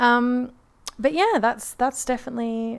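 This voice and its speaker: Her accent is Australian. She talks at a moderate pace. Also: very clean recording, silent background. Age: 20s. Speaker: podcaster. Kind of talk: casual chat. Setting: home, on a couch.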